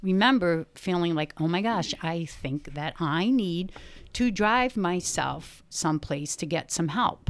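An unremarkable speaking voice from a woman, fairly low in pitch with lively intonation, on a very clean recording with a silent background. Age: 50s. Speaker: church friend sharing faith story. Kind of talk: testimony.

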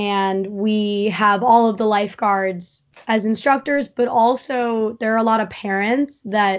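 Against a quiet background, an ordinary speaking voice with an American accent holds a fairly even intonation. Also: woman. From US Northeast (eastern Long Island, New York). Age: 20s. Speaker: competitive lifeguard athlete. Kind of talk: casual interview chat.

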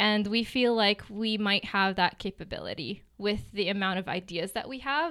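A woman with a normal speaking voice speaks at a fairly slow pace, her medium pitch showing ordinary pitch variation. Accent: American. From New Jersey and Gaza City, Palestine. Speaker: real estate agent. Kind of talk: interview.

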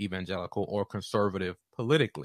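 It is a plain, everyday voice with an American accent, moving at a fairly quick pace with ordinary pitch variation. The recording is very clean with a silent background and a dry, close sound with no echo. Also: man. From Southeast Washington, D.C., US. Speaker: podcast host, counseling doctoral student. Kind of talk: solo monologue podcast.

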